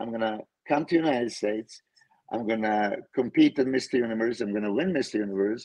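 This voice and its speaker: In a Serbian accent, a man speaks at a medium pitch with ordinary pitch variation. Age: 50s. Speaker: pro bodybuilder and coach. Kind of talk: casual chat. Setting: video call.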